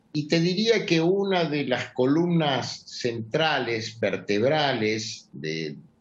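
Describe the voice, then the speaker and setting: In a room with audible echo, a man of fairly high pitch talks at a very slow pace with lively intonation and hardly any pauses. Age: 70s. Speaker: journalist and political analyst. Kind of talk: interview.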